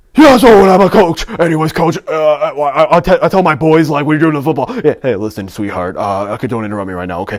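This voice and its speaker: A man in a raspy, put-on character voice talks very fast at a fairly high pitch, with very wide pitch swings and hardly any pauses. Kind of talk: casual, gruff.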